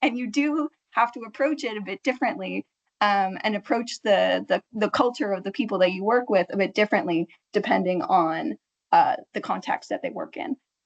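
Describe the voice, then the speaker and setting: A woman with an American accent talks at a moderate pace in a fairly high pitch, with lively intonation and vocal fry. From United States. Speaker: marketing project manager, linguist in industry. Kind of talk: panel discussion.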